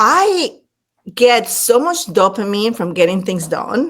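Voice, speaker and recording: A woman speaks with a Latin American accent at a fairly slow pace. Her tone is animated and her intonation lively. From Panama. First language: Spanish. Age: 50s. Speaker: leadership speaker and former executive. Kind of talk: podcast interview.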